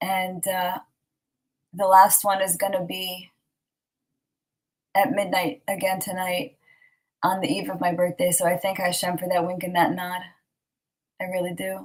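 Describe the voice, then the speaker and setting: A woman speaks at medium pitch and a moderate pace, somewhat breathy and with fairly even intonation, leaving long, frequent pauses. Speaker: online Torah class teacher. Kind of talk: online class talk. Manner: halting.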